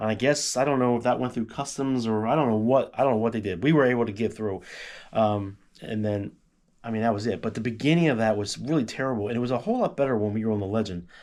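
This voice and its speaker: At a very fast pace, a man talks at a medium pitch with ordinary variation, on a very clean recording with a silent background. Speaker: travel vlogger. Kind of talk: casual chat. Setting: at home.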